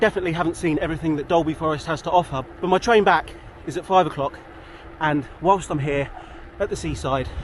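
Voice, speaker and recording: There is noticeable background noise behind this man's voice. He talks at a very fast pace, fairly high in pitch, with ordinary pitch variation. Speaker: cycling vlogger. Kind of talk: vlog narration while riding. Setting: outdoors. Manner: casual.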